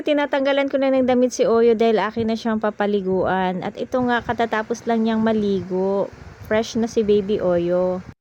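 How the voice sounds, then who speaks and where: A woman at a fairly high pitch and moderate pace, with ordinary pitch variation. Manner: can sound angry.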